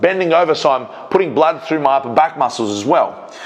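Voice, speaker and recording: With an Australian accent, a man speaks at a fairly quick pace in a fairly high pitch, with noticeable background noise behind him. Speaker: strength coach and powerlifter. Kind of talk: voiceover commentary on own training video. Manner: fast; casual, with fillers.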